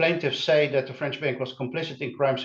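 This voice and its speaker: A man speaks in a fairly high pitch with a somewhat breathy voice. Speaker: criminology researcher presenting. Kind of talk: academic webinar presentation. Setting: online webinar. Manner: halting, many filler sounds.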